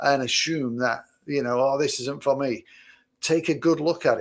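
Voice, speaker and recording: Recorded very cleanly over a silent background, the speaker has a Mancunian accent and fairly even intonation. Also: man. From Manchester, England. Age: 60s. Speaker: podcast co-host and business owner. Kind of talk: casual chat.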